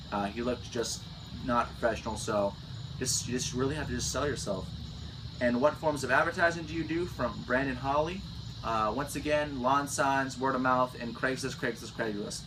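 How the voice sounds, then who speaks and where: Audible room echo surrounds a man speaking with an American accent. His pitch is medium. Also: ordinary pitch variation. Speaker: landscaping business owner. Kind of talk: Q&A vlog, casual chat. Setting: on vacation in Florida. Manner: fast.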